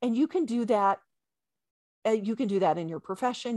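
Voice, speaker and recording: The speaker has an ordinary speaking voice with an American accent and lively intonation. The sound is dry and close with no echo, over a quiet background. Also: woman. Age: 50s. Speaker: chiropractor and intuitive coach. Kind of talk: casual interview chat.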